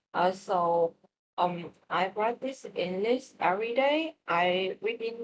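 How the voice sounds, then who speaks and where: A woman's medium-pitched voice with a Vietnamese accent, lively intonation and a very slow pace. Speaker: English learner. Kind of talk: language practice conversation. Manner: halting, many fillers.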